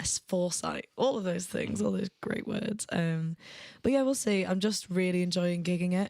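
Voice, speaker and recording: Speaking at a moderate pace, a woman with a Mancunian accent has a dark, mellow tone. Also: medium pitch for a woman, ordinary pitch variation. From Manchester, northern England. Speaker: musician. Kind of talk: casual chat.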